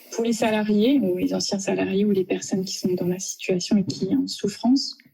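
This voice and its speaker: With a dark, mellow tone, a woman speaks at a medium pitch and a fairly slow pace, sounding somewhat breathy, with fairly even intonation. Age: 40s. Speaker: office manager, harassment victim. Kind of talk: testimony. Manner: halting, stammering.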